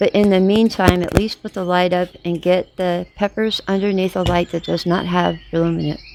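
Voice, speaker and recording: A woman's medium-pitched, strained voice at a moderate pace, flat and monotone, over noticeable background noise. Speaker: gardening vlogger. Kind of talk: casual tutorial vlog. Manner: strained, trying to project; hesitant, many fillers.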